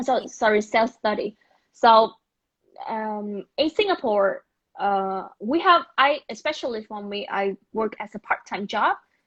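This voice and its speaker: A woman with a Vietnamese accent speaks at a fairly slow pace in a fairly high pitch, her intonation lively and her loudness swinging widely, on a dry, close recording with no echo. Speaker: business school alumna. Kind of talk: online interview. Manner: halting.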